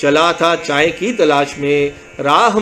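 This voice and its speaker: A man speaks with ordinary pitch variation. There is noticeable background noise. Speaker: poet. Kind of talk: poetry reading.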